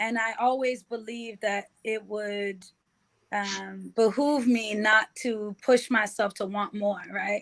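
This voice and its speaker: A woman's very slow, monotone, flat delivery with an American accent, fairly high in pitch. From Boston, Massachusetts. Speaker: state representative. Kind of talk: podcast interview.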